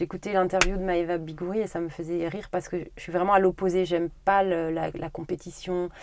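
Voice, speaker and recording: A woman talks at a fairly quick pace with hardly any pauses. Her fairly low voice stays monotone and flat. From Haute-Corrèze, France. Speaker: grocery shop owner. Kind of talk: interview.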